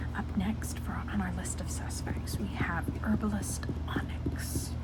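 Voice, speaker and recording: The speaker whispers in a relaxed tone. Noticeable background noise can be heard. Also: fairly slow pace. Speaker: ASMR creator. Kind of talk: ASMR logic puzzle talk to camera. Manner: soft-spoken, relaxed, rambling.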